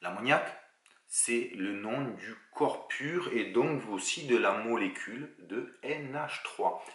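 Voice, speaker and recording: Lively intonation from a man with a southern French accent, medium pitch and audible room echo. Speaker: chemistry teacher. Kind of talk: lecture. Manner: casual, relaxed.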